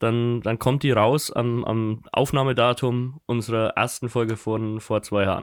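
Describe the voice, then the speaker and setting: With an unremarkable speaking voice, a man speaks at a fairly slow pace in a very clean recording with a silent background. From Germany, Kulmbach (Upper Franconia). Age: 20s. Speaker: podcast co-host. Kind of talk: casual chat.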